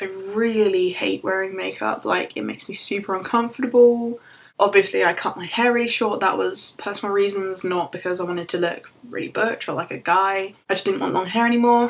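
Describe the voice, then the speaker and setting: Using a plain, everyday voice, a woman talks at a fairly quick pace in a medium pitch with fairly even intonation. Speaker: vlogger. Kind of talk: personal vlog.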